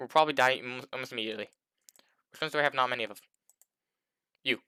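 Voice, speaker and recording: A man's bright, sharp voice, dry and close with no echo. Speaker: gaming youtuber. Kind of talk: gameplay commentary. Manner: fast; halting.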